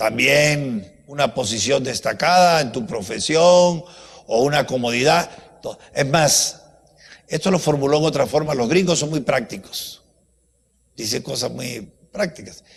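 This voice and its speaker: A man's fairly high-pitched, somewhat breathy voice, animated in tone and lively in intonation, at a fairly slow pace with long, frequent pauses. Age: 80s+. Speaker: professor. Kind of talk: lecture.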